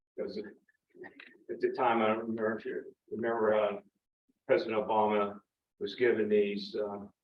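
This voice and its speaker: Speaking with a Central Pennsylvania accent, a man moves at a fairly quick pace. Long, frequent pauses break up his speech. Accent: Pennsylvania (Central PA) English. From York County, Pennsylvania. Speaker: army veteran. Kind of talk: personal talk to audience.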